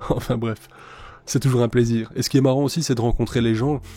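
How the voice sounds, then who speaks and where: With music in the background, a man speaks in fairly even intonation. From Belgium. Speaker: YouTuber, ant keeper. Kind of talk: casual vlog monologue. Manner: loud; hesitant, many fillers.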